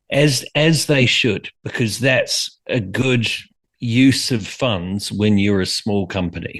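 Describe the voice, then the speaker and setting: Over a quiet background, a man talks at a medium pitch with lively intonation. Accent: New Zealand. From New Zealand. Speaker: brand strategist and author. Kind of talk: interview.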